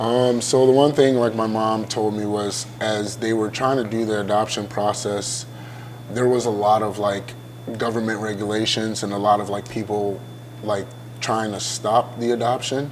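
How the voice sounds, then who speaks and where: A fairly low-pitched man with a Midwestern US accent, monotone and flat, amid audible room echo and noticeable background noise. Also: moderate pace. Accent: US Midwest. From Ghana, then Iowa from age eight. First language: Ghanaian language. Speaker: college football player. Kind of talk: interview. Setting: hotel venue.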